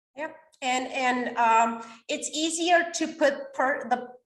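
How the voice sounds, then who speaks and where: A woman speaks with a non-native accent. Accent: non-native English, mispronounces words. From Romania. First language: Romanian. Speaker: author and coach. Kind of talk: podcast interview. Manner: energetic.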